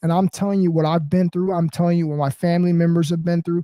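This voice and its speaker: Loud and high in pitch, a man with a dark, mellow tone speaks in a monotone, flat way, the sound dry and close with no echo. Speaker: motivational live streamer. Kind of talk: casual live stream monologue. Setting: home apartment.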